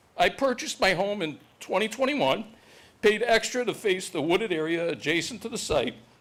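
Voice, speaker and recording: This man's voice is high in pitch. He talks at a fairly quick pace with lively intonation. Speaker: resident speaking at public comment. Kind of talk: prepared public comment statement. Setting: town board meeting, public hall. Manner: formal, read from prepared text; occasional self-corrections.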